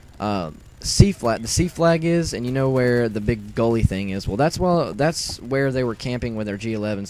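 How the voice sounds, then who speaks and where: Noticeable background noise sits behind a man's voice. He speaks in a medium pitch with lively intonation. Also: hardly any pauses. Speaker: gaming youtuber. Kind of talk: gameplay commentary. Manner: fast; stuttering.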